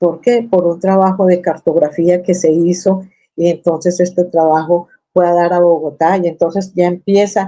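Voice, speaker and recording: With a dark, mellow tone and a fairly low pitch, a woman speaks at a moderate pace in a flat monotone. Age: 60s. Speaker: activist searching for a disappeared relative. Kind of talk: interview testimony. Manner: halting, with repetitions.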